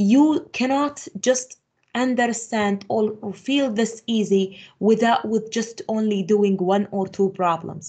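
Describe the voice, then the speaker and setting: Against a quiet background, a somewhat breathy woman speaks at a fairly slow pace, her fairly high pitch showing ordinary variation. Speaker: math teacher. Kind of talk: lecture.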